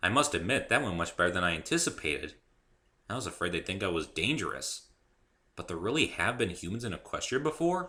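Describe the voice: A man performs a put-on character voice at a low pitch, with big pitch swings. His tone is bright and sharp, and the pace fairly quick.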